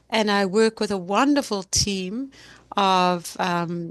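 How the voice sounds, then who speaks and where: Over a quiet background, a woman with a medium pitch speaks at a very slow pace in a dry, close recording with no echo. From South Africa. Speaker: pediatric neuroradiologist and journal editor. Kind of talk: interview.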